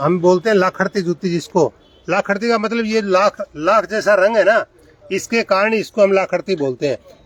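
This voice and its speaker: There is noticeable background noise behind the speaker. A man talks at a moderate pace in a high voice. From Rajasthan, India (Nohar area). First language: Rajasthani (speaking Hindi). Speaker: video blogger. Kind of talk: casual explainer vlog in a shop. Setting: in a shoe shop.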